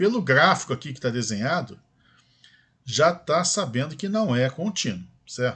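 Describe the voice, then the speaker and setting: At a fairly slow pace, a man speaks with very wide pitch swings over a quiet background. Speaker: math teacher. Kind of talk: lecture.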